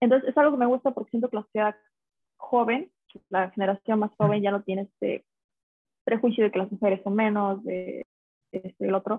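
The speech runs at a fairly quick pace with fairly even intonation, though broken by long, frequent pauses. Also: woman, fairly high pitch for a woman. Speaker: TikTok creator. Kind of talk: casual chat.

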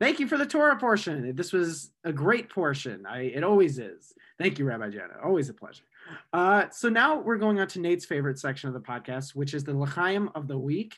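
A man with an American accent talks at a fairly quick pace against a quiet background. His fairly high pitch moves through very wide swings. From Michigan, US Midwest. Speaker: student podcast host. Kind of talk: casual chat.

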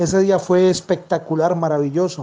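A man's fairly slow, high-pitched delivery. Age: 40s. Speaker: football fan. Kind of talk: vox-pop testimony.

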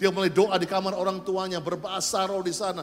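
Amid noticeable background noise, a man talks fairly quickly in an animated tone at a high pitch. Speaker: pastor. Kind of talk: sermon. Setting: church.

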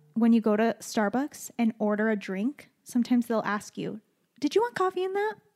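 In a Western US accent, a woman talks at a fairly quick pace and a fairly high pitch, with an animated tone and lively intonation, in a dry, close sound with no echo. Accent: general American, western US. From Utah, moved from Chile at age 4. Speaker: podcast co-host. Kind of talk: casual chat. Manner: animated, laughs often.

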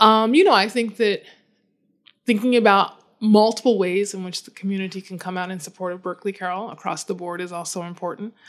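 A woman with an American accent speaks fairly quickly in a normal speaking voice at medium pitch, with fairly even intonation. Her loudness swings widely, and the recording is very clean, with a silent background. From US Midwest, Chicago. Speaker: head of school. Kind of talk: interview.

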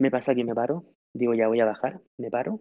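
Speaking at a fairly quick pace, a man uses an unremarkable speaking voice of medium pitch with ordinary pitch variation. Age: 30s. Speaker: church youth leader. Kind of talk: testimony.

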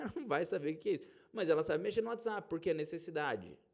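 Vocal fry runs through a man's voice as he talks at a very fast pace. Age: 30s. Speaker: podcast host and investment advisor. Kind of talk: solo podcast monologue. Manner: casual and conversational.

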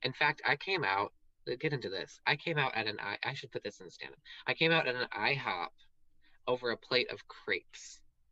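Speaking in a Southern US accent, a man keeps to a moderate tempo. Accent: Southern US, slips out sometimes. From US South. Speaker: drag queen and stand-up comedian. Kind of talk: casual interview chat. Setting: livestream video call.

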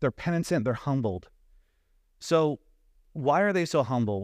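Here a man talks at a moderate pace in a fairly high pitch. He has a plain, everyday voice. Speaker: preacher. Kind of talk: sermon. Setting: church.

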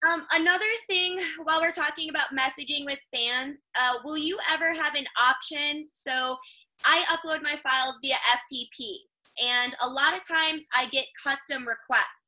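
A raised, projected woman's voice with an American accent, high pitch, ordinary pitch variation and a moderate pace. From Chicago. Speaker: adult content creator. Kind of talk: casual interview chat.

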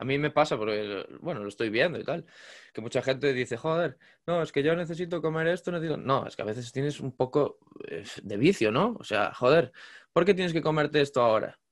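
Over a quiet background, a man speaks in a normal speaking voice at a fairly quick pace, pitched fairly high, with lively intonation. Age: 20s. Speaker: podcast host. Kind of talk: casual interview.

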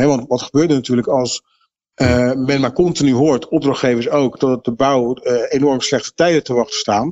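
A man speaks in an ordinary speaking voice at a medium pitch and moderate pace. His intonation is fairly even, and his loudness is very even. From Netherlands, Rotterdam area (Vlaardingen). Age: 50s. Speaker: market researcher. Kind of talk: interview.

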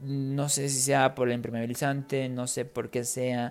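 The voice moves at a fairly slow pace in a monotone, flat intonation. The recording is very clean, with a silent background. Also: man. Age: 20s. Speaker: podcast host, Spanish teacher. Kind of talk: casual monologue for language learners. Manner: clear, unhurried.

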